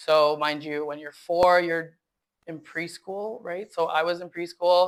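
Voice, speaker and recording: With a Canadian accent and a normal speaking voice, a woman talks at a fairly slow pace in a fairly low pitch, her intonation fairly even but her loudness swinging widely. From Canada; Winnipeg. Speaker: guest. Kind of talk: interview.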